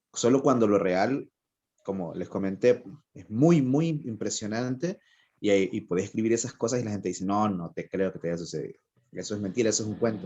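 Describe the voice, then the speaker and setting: A fairly quick delivery in a Honduran accent, with ordinary pitch variation. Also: man, fairly low pitch for a man. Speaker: writer. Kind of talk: interview.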